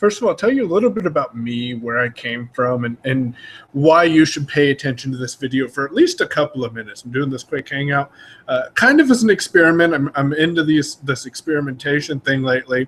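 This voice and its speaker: A man's fairly high voice with ordinary pitch variation, a fairly quick pace and a West Coast US accent. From Oregon. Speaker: online marketer. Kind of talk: casual informational talk. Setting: video call broadcast.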